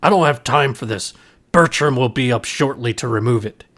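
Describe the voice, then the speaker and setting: A man puts on a gruff, growling character voice at a medium pitch. He is loud and keeps a moderate pace. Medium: read story. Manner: gruff, impatient, loud.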